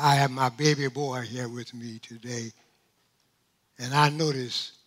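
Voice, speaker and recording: The voice has a bright, sharp tone and ordinary pitch variation. It moves at a fairly slow pace. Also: man. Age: 90s. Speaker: pastor. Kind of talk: sermon. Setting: church. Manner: animated.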